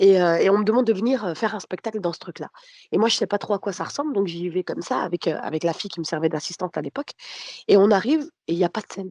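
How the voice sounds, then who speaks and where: A woman talks at a very fast pace with lively intonation and a dark, mellow tone at medium pitch. The sound is dry and close with no echo. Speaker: comedian. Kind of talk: casual chat.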